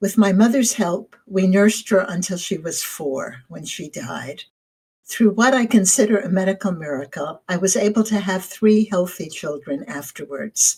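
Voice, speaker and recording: Speaking at a moderate pace, a woman uses a medium pitch and a somewhat breathy tone. Her intonation is lively and her loudness swings widely. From New Jersey, US. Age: 70s. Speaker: retired lawyer, essay writer. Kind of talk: autobiographical narration; reading aloud a personal essay.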